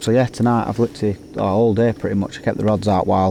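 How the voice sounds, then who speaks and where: Very fast and in a Lancashire accent, a man talks at a fairly low pitch with fairly even intonation. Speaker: carp angler vlogger. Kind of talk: casual vlog to camera. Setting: outdoors at a lake. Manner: hesitant, many fillers.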